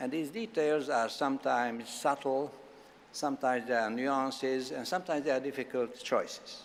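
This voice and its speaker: This man speaks with a Hungarian accent. His pitch is fairly high. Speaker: law professor. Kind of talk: formal opening speech. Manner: formal.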